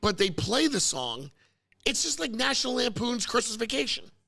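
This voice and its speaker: Animated and bright, a man with an American accent speaks in a sharp, raised, projected voice at a moderate pace, his pitch swinging very widely. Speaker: podcast host. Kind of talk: casual chat. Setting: service center.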